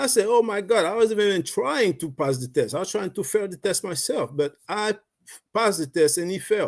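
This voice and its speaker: In a Haitian accent, the speaker talks at a fairly quick pace with lively intonation over a very clean recording with a silent background. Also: man, high pitch for a man. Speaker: network marketing member, Navy veteran. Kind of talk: personal testimony on a livestream. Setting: live video stream.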